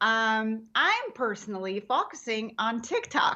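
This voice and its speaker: Against a quiet background, a woman with a non-native accent speaks very slowly at a fairly high pitch, with ordinary pitch variation. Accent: foreign. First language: not English. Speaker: comedian. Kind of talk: casual interview chat. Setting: podcast.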